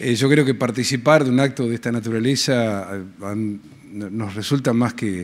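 At a moderate pace, a man talks in a medium pitch with ordinary pitch variation. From Argentina, Patagonia; Argentina. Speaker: senator. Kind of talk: ceremonial speech. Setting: legislative hall ceremony. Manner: halting, with fillers. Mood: warm, grateful. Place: hall. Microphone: podium.

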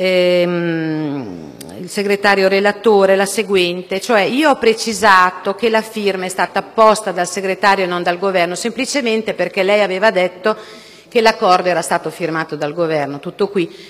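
A woman at a medium pitch, moderate pace, and ordinary pitch variation. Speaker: politician. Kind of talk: parliamentary speech. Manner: measured. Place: hall. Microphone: podium.

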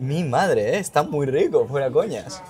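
This man's voice sits fairly high in pitch, with a slightly mellow tone. He talks at a fairly slow pace with lively intonation.

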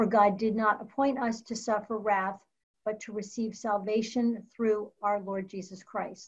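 Against a quiet background, a woman speaks at a fairly slow pace in a fairly high, somewhat breathy voice with flat, monotone intonation. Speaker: church member. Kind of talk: reading scripture aloud. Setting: video call. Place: home room. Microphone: video call.

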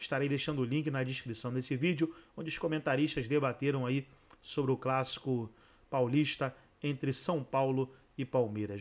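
An unremarkable speaking voice, a man at fairly high pitch, with ordinary pitch variation and a moderate pace. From Brazil. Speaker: YouTube channel host; sports channel host. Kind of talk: video intro and outro.

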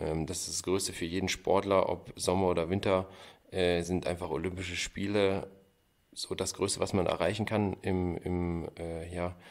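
A man with a very deep, low voice speaks in a flat monotone. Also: very clean recording, silent background. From Thuringia, Gotha district. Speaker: luge athlete. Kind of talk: interview.

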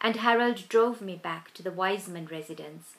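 The text comes across in an unforced reading voice.

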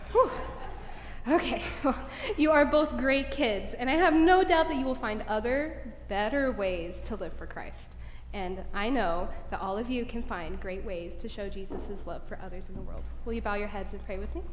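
A woman speaks at a moderate pace, her loudness swinging widely, with light background noise and audible room echo. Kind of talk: children's sermon. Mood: gentle, warm. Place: church. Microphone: camera far.

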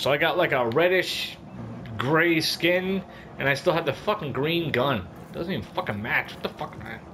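Noticeable background noise sits behind a man's voice. He speaks fairly high, with lively intonation. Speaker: gaming YouTuber. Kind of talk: angry rant during gameplay commentary. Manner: loud, profane, exasperated and animated; fast, jumpy, with bursts of laughter.

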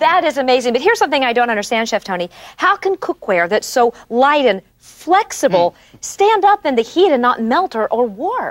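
Against a quiet background, a woman's high voice swings very widely in pitch. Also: moderate pace. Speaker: co-host of TV show. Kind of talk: infomercial product demonstration, enthusiastic co-host. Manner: enthusiastic, amazed. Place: studio. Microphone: lapel.

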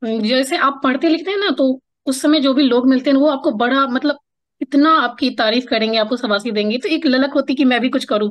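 A woman speaks at a moderate pace in a high voice against a quiet background. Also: very even loudness. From Bihar, Araria district; Bihar, India. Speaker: writer and poet; podcast guest, poet. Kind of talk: interview conversation. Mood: warm, reminiscing. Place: home room. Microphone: video call.

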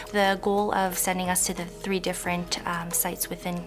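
Clear music sits behind the voice. A woman speaks rather quickly over it. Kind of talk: interview answer. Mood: calm, earnest. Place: classroom.

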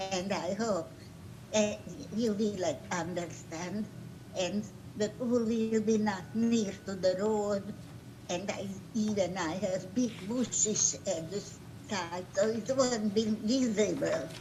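At a very slow pace with long, frequent pauses, a woman speaks at a medium pitch with ordinary pitch variation, in audible room echo. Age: 90s. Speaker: applicant at zoning hearing. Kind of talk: testimony. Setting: video call.

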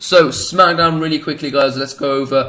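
This man speaks with a British accent. His pitch sits fairly high. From Britain. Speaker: gaming YouTuber; gaming video creator. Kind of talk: gameplay commentary; casual gaming commentary. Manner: animated; halting, many fillers.

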